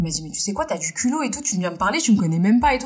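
A woman's fairly high, somewhat breathy voice with very wide pitch swings. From France, Indian family. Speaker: costume dresser. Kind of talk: casual interview chat.

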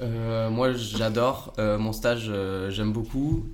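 Monotone, flat intonation from a man at a fairly slow pace, with audible room echo. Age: 20s. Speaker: sports science student. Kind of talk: casual interview. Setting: podcast recording. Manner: hesitant with fillers.

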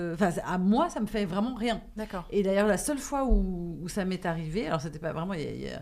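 Here a woman speaks at a fairly low pitch. Vocal fry runs through her voice. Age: 40s. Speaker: actress and author. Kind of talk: casual chat.

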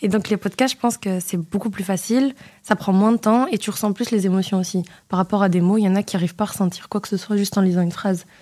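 Against a silent background in a very clean recording, a woman talks at a very fast pace in a medium pitch, with a dark, mellow tone and fairly even intonation. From Moroccan diaspora in Belgium, family from Oujda. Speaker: financial auditor. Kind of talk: radio interview. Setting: studio.

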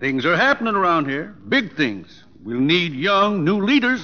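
A man's put-on character voice with a bright, sharp tone, high pitch, big pitch swings and a fairly slow pace

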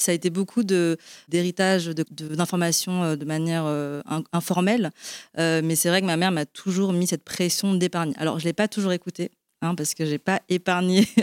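An unremarkable speaking voice from a woman, fairly low in pitch, at a moderate pace with fairly even intonation, dry and close with no echo, on a very clean recording with a silent background. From Belgium. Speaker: marketing director at a sustainable investment platform. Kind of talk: panel discussion. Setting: live event with audience.

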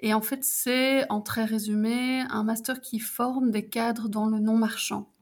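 Speaking at a very slow pace with hardly any pauses, a woman with a fairly high pitch keeps a monotone, flat intonation and very even loudness. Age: 40s. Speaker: civil servant and mature student. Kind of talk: casual interview. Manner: halting, many fillers.

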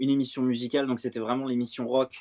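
This man speaks at a medium pitch. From France, Seine-et-Marne (77). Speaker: music journalist. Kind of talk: interview. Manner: halting, many repetitions.

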